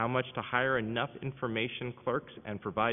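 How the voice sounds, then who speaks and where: A man's medium-pitched voice with fairly even intonation. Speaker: city council member. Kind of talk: questioning at budget hearing. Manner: fast.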